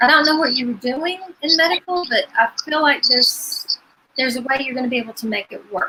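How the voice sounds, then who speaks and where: Raising and projecting her voice, a woman with an Appalachian accent speaks fairly quickly at a high pitch with lively intonation. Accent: southern Appalachian US. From Virginia. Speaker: psychic medium. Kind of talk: live psychic reading.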